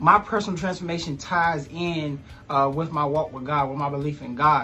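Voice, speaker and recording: A bright, sharp voice in an American accent, animated in tone, at a fairly quick pace. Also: man. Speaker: life coach. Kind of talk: motivational vlog. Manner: fast.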